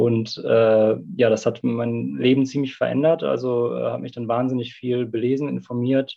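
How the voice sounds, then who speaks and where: This is a man with an ordinary speaking voice at medium pitch. He keeps a moderate pace and fairly even intonation. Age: 30s. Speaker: climate activist. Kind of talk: debate.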